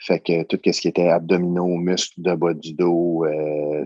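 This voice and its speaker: Against a quiet background, a man speaks at a very slow pace with a very deep, low pitch, a dark, mellow tone and fairly even intonation, the sound dry and close with no echo. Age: 30s. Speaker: security worker, coaching client. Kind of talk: testimony. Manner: halting.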